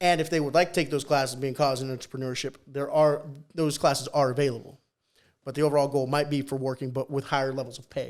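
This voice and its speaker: Talking at a very fast pace, a man with a fairly high pitch keeps a monotone, flat intonation. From Peru. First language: Spanish. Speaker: high school teacher and coach. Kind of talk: casual podcast interview.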